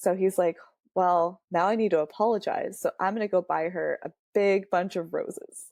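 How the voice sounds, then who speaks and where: An unremarkable speaking voice with an American accent talks at a moderate pace in a dry, close sound with no echo. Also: woman, medium pitch for a woman. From Woodland, California. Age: 30s. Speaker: returned Peace Corps volunteer. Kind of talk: interview answer. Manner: casual, conversational.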